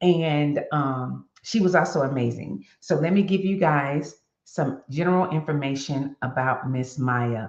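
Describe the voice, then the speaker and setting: The delivery is fairly slow with hardly any pauses and ordinary pitch variation. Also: woman, very deep, low pitch for a woman. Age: 60s. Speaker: motivational web show host. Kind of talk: reading aloud; casual talk to viewers. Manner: halting.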